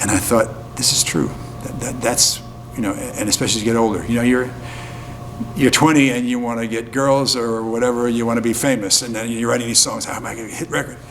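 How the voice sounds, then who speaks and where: A man with an American accent talks very fast in a flat monotone, with music in the background and audible room echo. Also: medium pitch for a man. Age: 70s. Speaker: folk musician. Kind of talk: interview. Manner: halting, many fillers.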